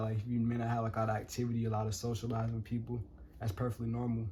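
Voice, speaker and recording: A man speaks at medium pitch in a dark, mellow tone. His voice is somewhat breathy. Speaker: numerology vlogger. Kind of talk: casual vlog monologue. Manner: fast; improvised, casual.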